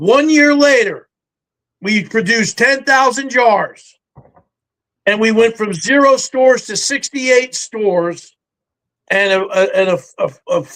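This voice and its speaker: A man with an animated, bright, sharp tone at a fairly slow pace, with ordinary pitch variation. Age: 60s. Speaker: army veteran and reality TV survivalist. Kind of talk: interview chat; sales pitch.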